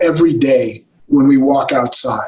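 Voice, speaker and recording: A very slow pace with ordinary pitch variation. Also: man. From California. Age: 60s. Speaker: dentist and business executive. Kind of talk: interview.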